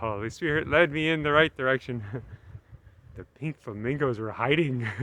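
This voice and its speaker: At a moderate pace and a medium pitch, a man talks in an ordinary speaking voice with ordinary pitch variation. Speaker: travel vlogger. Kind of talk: casual vlog narration. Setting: outdoors.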